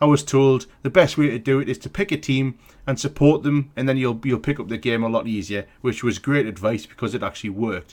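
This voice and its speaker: Speech races along at a very fast clip, the intonation lively throughout. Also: man. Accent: British. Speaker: sports vlogger. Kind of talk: casual vlog commentary. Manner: hesitant, many fillers.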